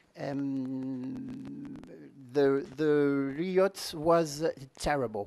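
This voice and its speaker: A man with a French accent speaks very slowly at a fairly high pitch. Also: ordinary pitch variation. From France. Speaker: party leader. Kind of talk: conference speech. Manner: halting.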